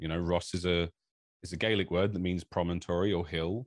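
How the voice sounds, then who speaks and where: A man with a southern British accent speaks at a fairly quick pace and a very deep, low pitch. The sound is dry and close, with no echo. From England. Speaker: esports commentator. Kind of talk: casual interview. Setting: video call. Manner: animated.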